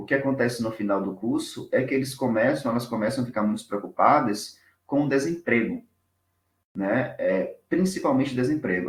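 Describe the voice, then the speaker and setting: Somewhat breathy and medium in pitch, a man speaks with lively intonation. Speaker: doctoral researcher. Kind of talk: academic presentation. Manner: fast.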